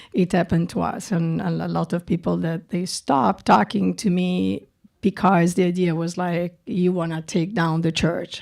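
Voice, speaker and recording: In a very clean recording with a silent background, a woman speaks in a strong Italian accent with a fairly low pitch. Her pace is moderate, with hardly any pauses. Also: ordinary pitch variation. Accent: thick Italian. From Italy, Milan. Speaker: documentary director. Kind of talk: festival Q&A. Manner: halting, many repetitions.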